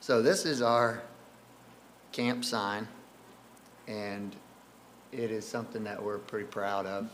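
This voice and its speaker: Audible room echo around a man's medium-pitched voice, monotone and flat, at a fairly slow pace. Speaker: camp staff member. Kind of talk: presentation. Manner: casual, filler-heavy.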